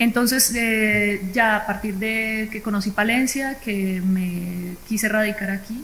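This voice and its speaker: A woman's fairly high voice in a Colombian accent, very slow yet with hardly any pauses, fairly even in intonation, with audible room echo. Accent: Colombian, noticeable. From Colombia, Bogotá. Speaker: entrepreneur, forestry engineer. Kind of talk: panel discussion.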